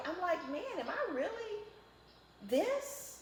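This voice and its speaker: Background noise that is noticeable, plus room echo you can hear. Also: woman. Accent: strong Southern US. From East Texas. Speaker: interview guest. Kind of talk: interview.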